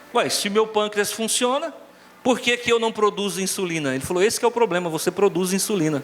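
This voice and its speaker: A man with a high voice and lively intonation keeps a moderate pace while noticeable background noise carries on behind him. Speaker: pastor. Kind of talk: sermon. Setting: church with congregation. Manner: animated.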